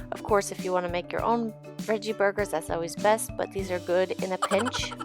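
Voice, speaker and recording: A woman speaks at a fairly quick pace with music playing behind her. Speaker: vegan food vlogger. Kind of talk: casual voiceover narration.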